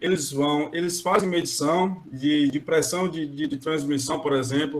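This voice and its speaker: In an ordinary speaking voice, a man talks at a moderate pace and a fairly high pitch with fairly even intonation. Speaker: maintenance planning engineer, guest speaker. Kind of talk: online lecture.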